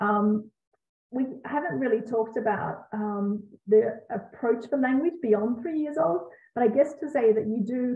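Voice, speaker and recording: A woman with an Australian accent speaks amid audible room echo. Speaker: Montessori educator and parenting author. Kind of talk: live Q&A. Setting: video call. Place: home room. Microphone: webcam.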